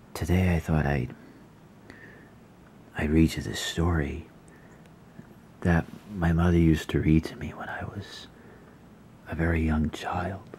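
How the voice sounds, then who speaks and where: A soft-spoken voice leaves long, frequent pauses over light background noise. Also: fairly slow pace. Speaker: ASMR creator. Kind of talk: casual talk to camera. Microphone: phone near.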